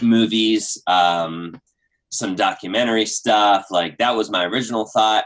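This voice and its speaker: A man speaks with an American accent at a fairly slow pace. His tone is bright and sharp, with ordinary pitch variation. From Pennsylvania, US. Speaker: YouTuber and storyteller. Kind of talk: casual interview. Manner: high energy, animated.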